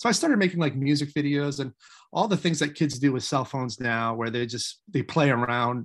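A man talks very fast with ordinary pitch variation, over a quiet background. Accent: American. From Maine, US. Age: 40s. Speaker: independent filmmaker. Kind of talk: interview.

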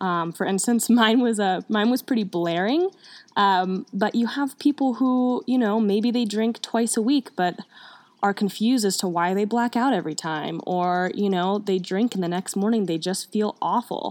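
The very clean recording with a silent background carries a woman's medium-pitched voice at a moderate pace with ordinary pitch variation. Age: 20s. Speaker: podcast host, recovering alcoholic. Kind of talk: casual monologue.

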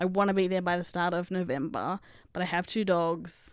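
A woman speaks at a medium pitch with an Australian accent. The recording is very clean, with a silent background. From Australia, country Victoria and Canberra. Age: 30s. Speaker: podcast host. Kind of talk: casual monologue. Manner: animated.

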